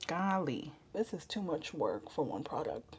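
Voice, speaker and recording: A soft-spoken woman talks with lively intonation. Her tone is dark and mellow. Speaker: makeup artist. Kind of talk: tutorial. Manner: casual, chatty.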